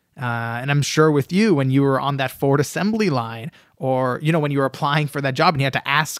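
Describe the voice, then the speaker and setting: This man has an ordinary speaking voice with a fairly high pitch. He keeps a moderate pace, and the sound is dry and close with no echo. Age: 20s. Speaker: author. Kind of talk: interview.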